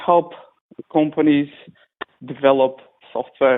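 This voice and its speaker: This man speaks with a non-native accent and a fairly high pitch. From Macedonia. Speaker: web and app developer. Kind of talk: casual chat. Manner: halting. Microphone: lag on the line.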